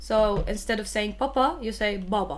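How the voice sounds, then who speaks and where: A woman speaks at a moderate pace with a Levantine accent, and audible room echo surrounds her voice. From Syria. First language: Arabic. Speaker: language teacher. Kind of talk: live online lesson. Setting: live stream.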